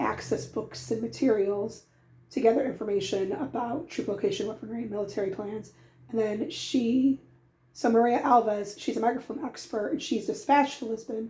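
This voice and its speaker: This woman's voice is fairly high in pitch, somewhat breathy and dark and mellow in tone, with ordinary pitch variation. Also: moderate pace. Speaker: book reviewer. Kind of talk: casual talk to camera.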